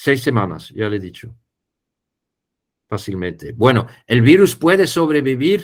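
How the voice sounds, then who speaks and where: With a non-native accent and vocal fry, the speaker goes at a fairly slow pace with long, frequent pauses and very wide pitch swings. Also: man, medium pitch for a man. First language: not Spanish (speaking Spanish). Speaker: poultry biosecurity specialist. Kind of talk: webinar Q&A. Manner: halting.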